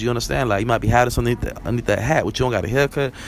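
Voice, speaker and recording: The speaker is a man with a medium pitch. Noticeable background noise runs behind him. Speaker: vlogger. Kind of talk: casual monologue. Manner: fast; rambling, conversational.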